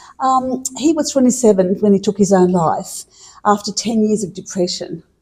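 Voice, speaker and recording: A woman's dark, mellow, somewhat breathy voice at medium pitch, in an Australian accent, with ordinary pitch variation at a moderate pace. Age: 60s. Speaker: mental health advocate, bereaved mother. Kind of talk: interview testimony. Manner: hesitant.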